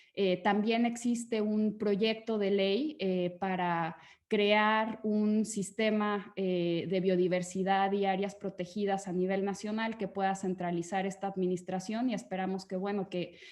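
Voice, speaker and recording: Hardly pausing at all, a woman speaks at a fairly slow pace and medium pitch with monotone, flat intonation. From Mexico. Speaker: conservation foundation advisor. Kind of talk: webinar panel talk. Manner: hesitant with frequent fillers.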